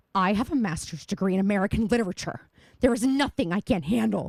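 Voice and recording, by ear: Putting on a creaky character voice, a woman at medium pitch rattles along at a very fast pace with lively intonation.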